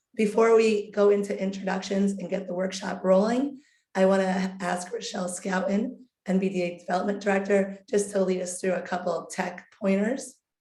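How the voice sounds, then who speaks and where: A woman speaks at a medium pitch and a moderate pace, her tone dark and mellow and somewhat breathy. Her intonation is fairly even, and audible room echo surrounds her voice. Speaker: webinar host. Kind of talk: webinar presentation.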